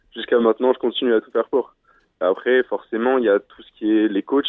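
The man talks at a moderate pace in a monotone, flat intonation. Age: 20s. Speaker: decathlete. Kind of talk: radio interview. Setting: phone call. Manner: halting.

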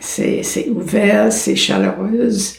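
A woman's voice swings very widely in pitch, with audible room echo around it. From United States. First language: English (speaking French). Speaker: psychologist. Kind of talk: interview.

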